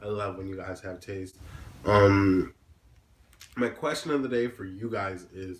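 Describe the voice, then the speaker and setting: A somewhat breathy man speaks at a fairly slow pace, with ordinary pitch variation and big swings in loudness. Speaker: music vlogger. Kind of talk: casual vlog talk to camera. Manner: halting, filler-heavy.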